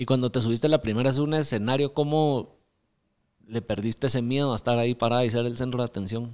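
A man with a medium pitch talks at a very fast pace, his intonation fairly even. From Guatemala. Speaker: podcast host. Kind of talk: interview. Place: studio. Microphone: studio mic.

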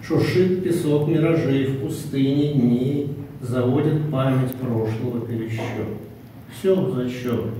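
A man at a very slow pace, with strong room echo and light background noise. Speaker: poet. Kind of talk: poetry reading and short talk. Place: meeting room. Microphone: camera far.

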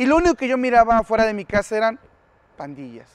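A high-pitched man talks at a very fast pace, the sound dry with no echo. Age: 30s. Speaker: former gang member, youth outreach speaker; speaker. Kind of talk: public service announcement. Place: garden.

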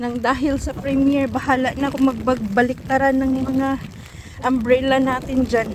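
A woman's high voice at a moderate pace, monotone and flat, over noticeable background noise. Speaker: vlogger. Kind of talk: casual vlog narration. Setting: outdoors.

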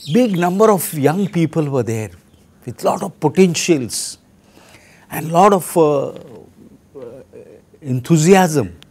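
Using lively intonation, a man with a Marathi accent speaks very slowly at a fairly high pitch, with long, frequent pauses and big swings in loudness. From India, Maharashtra. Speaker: archbishop. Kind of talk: testimony. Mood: reflective, reminiscing. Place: home room.

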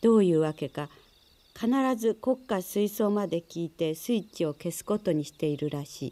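Soft-spoken and calm, this voice has a dark, mellow tone, a moderate pace and big swings in loudness. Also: woman, fairly low pitch for a woman, lively intonation. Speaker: narrator. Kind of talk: reading aloud a literary short story, audiobook-style narration. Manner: calm, measured and even-paced, with a soft narrative tone. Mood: calm, measured. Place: studio. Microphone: studio mic.

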